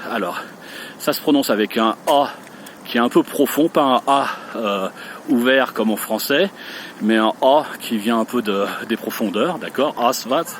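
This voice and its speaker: A man at medium pitch with ordinary pitch variation, a fairly slow pace, long, frequent pauses and noticeable background noise. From France, Lyon / Rhône. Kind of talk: language pronunciation tutorial. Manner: hesitant, many fillers; slow, careful.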